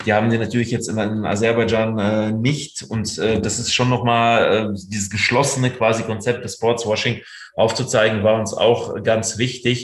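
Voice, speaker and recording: Audible room echo surrounds a man speaking at a medium pitch with hardly any pauses. His intonation is monotone and flat. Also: moderate pace. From Germany, raised from childhood after moving from the Soviet Union. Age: 30s. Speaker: freelance journalist. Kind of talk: interview.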